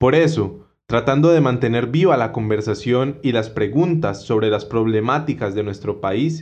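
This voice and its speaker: At a fairly slow pace, a man speaks in an unremarkable speaking voice of medium pitch with ordinary pitch variation. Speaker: podcast host. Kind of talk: interview; scripted narration.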